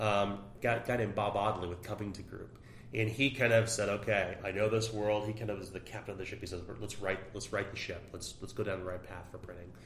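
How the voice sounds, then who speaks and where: Over audible room echo, a man talks fairly quickly in a flat monotone. His fairly low voice swings widely in loudness. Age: 40s. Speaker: tabletop game designer. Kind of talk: interview.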